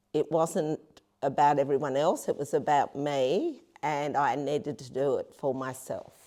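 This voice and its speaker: A woman with a very deep, low pitch and a dark, mellow tone speaks at a fairly slow pace. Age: 60s. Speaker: strength training client. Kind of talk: interview. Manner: halting.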